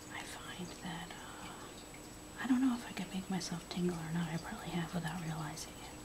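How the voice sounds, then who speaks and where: Someone is whispering at a moderate pace with hardly any pauses. There is noticeable background noise. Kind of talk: ASMR whispered rambling. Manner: whispered, soft-spoken.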